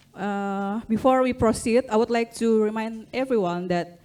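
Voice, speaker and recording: At a fairly slow pace, a woman with a normal speaking voice and a fairly high pitch talks with ordinary pitch variation. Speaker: conference moderator. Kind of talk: formal introduction. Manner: formal.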